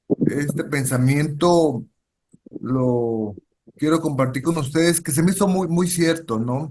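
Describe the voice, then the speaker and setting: A man with a Mexican accent speaks at a very slow pace. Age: 60s. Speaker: social worker. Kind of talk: lecture. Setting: video call. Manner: halting.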